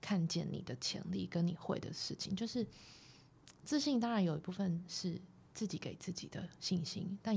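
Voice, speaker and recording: Her fairly low pitch and dark, mellow tone mark this woman's somewhat breathy voice. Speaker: photographer. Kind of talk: casual interview. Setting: studio.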